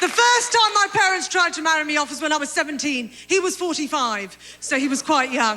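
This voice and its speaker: A woman's high-pitched, raised, projected voice with very wide pitch swings, a fairly quick pace and hardly any pauses, over noticeable background noise. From Britain. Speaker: stand-up comedian. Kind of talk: stand-up comedy set to an audience.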